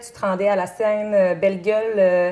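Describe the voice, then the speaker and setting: Over noticeable background noise, a woman with a fairly high voice speaks at a fairly slow pace. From Quebec, Chaudière-Appalaches (Bellechasse). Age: 30s. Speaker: singing contestant. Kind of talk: interview. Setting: TV studio. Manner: halting, many fillers.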